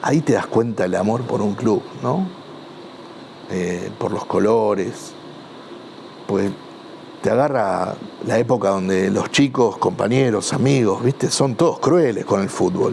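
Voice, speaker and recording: A man talks in a Rioplatense accent at a medium pitch, with lively intonation and a fairly slow pace. He leaves long, frequent pauses, and noticeable background noise can be heard. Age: 60s. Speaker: football club supporter. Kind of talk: interview testimony. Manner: halting, many fillers and repetitions.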